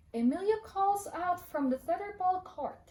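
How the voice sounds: A woman speaks at an extremely high pitch and a fairly slow pace, her intonation lively and her tone slightly mellow, with audible room echo around her.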